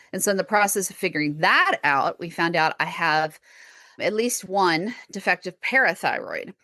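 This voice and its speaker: A woman with an American accent speaks at a moderate pace and medium pitch, her bright, sharp tone showing ordinary pitch variation in a dry, close recording with no echo against a quiet background. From Texas. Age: 40s. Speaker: podcast host and chronic illness patient. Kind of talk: interview conversation.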